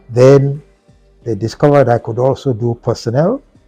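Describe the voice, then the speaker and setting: Music plays in the background as a man talks at a fairly slow pace. His pitch sits at a medium level. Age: 80s+. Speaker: former broadcaster and company executive. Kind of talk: interview answer.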